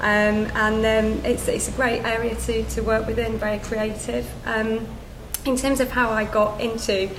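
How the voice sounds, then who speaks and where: A woman's fairly high voice in a Yorkshire accent, fairly slow and monotone with flat intonation, with audible room echo and noticeable background noise. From Yorkshire, northern England. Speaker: account director at a branding agency. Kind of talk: panel talk at a business event. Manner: halting, many fillers.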